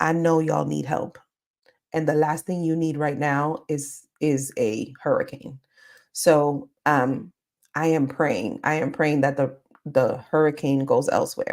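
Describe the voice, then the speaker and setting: On a very clean recording with a silent background, a woman speaks at a very deep, low pitch. Her pace is fairly slow, with ordinary pitch variation. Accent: American. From Caribbean and New York. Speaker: career coach. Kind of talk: live stream Q&A. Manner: animated.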